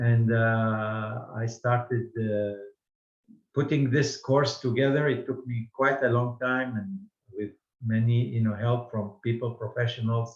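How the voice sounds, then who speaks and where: A man's somewhat breathy, medium-pitched voice moves at a fairly slow pace with fairly even intonation. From Baghdad, Iraq. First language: Judeo-Arabic. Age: 70s. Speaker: language teacher. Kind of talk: lecture. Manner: halting.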